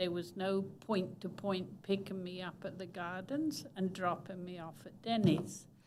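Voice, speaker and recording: Audible room echo surrounds a woman speaking at a fairly slow pace with medium pitch and fairly even intonation. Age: 80s+. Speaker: resident speaking at public comment. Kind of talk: public comment at city council meeting.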